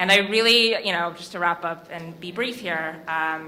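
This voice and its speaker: Audible room echo surrounds a woman who speaks at a moderate pace, her medium pitch held in fairly even intonation. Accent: American. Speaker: digital media executive, award winner. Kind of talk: award acceptance speech. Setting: stage at awards dinner with audience.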